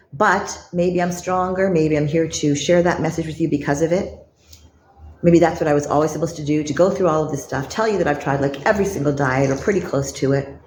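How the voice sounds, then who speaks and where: A woman with a Canadian accent speaks at a very fast pace in a very deep, low pitch. Her intonation is fairly even, and there is audible room echo. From Canada. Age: 60s. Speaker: lifestyle vlogger. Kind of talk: vlog monologue.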